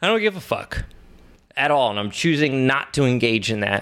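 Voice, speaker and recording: A man's unremarkable speaking voice at a medium pitch and moderate pace. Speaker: podcast host. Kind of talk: casual chat.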